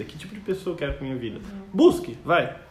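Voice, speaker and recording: A man speaks at a high pitch. Room echo is audible. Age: 20s. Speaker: software developer. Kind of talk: casual chat.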